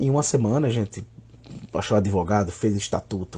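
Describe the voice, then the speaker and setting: A man talks with a fairly low pitch and a dark, mellow tone that is somewhat breathy. His pitch variation is ordinary, and the background is quiet. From Northeast Brazil, Alagoas (Maceió). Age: 30s. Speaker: RPG association president, gamer. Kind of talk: interview monologue.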